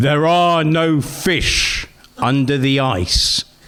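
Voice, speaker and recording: A booming, put-on character voice from a man, fairly high in pitch, at a very slow pace with ordinary pitch variation. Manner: authoritative.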